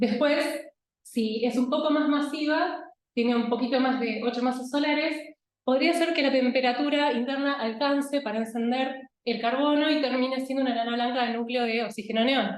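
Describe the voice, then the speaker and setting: A woman's high voice at a moderate pace, fairly even in intonation and very even in loudness. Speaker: astronomer. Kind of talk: lecture.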